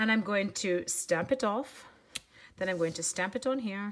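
A woman puts on a raspy character voice at medium pitch. She uses ordinary pitch variation and a moderate pace. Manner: unintentional, casual.

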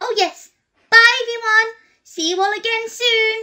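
A woman puts on a cartoonish character voice with a Minnie Mouse-like extremely high pitch at a moderate pace. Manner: excited, curious.

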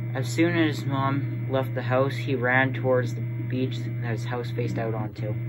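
Noticeable background noise sits behind this man's voice. He speaks at a moderate pace and medium pitch, with monotone, flat intonation. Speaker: creepypasta narrator. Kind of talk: creepypasta horror narration, read aloud from a script.

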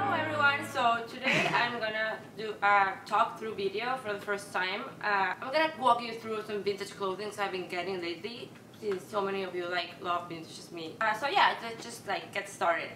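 A woman in a Peruvian accent talks at a moderate pace with hardly any pauses, her loudness swinging widely and her pitch varying in an ordinary way. Audible room echo and light background noise are present. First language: Spanish. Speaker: vintage fashion vlogger. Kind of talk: casual talk to camera. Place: home room.

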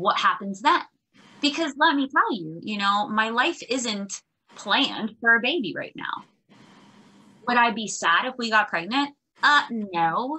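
Against a quiet background, a woman with a fairly high pitch talks at a fairly slow pace, her lively intonation broken by long, frequent pauses. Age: 30s. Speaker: life coach and author; life coach. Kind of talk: interview. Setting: video call. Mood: candid, emotional. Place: home room. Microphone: video call.

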